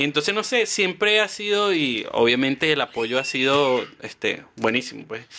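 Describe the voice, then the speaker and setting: Bright, sharp tone from a man with a Venezuelan accent, fairly high in pitch, at a moderate pace with ordinary pitch variation, on a very clean recording with a silent background. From Venezuela, Guárico (llanos). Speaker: travel content creator. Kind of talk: casual interview chat.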